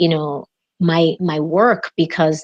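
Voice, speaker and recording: With a Spanish accent, a woman talks at a fairly low pitch and fairly even intonation in a dry, close sound with no echo. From Dominican Republic. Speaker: executive coach. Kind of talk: interview. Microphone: unstable internet connection.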